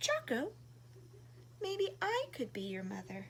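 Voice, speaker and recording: A woman's put-on character voice at a fairly slow pace, with clear background noise. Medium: read story. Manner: gentle, kind.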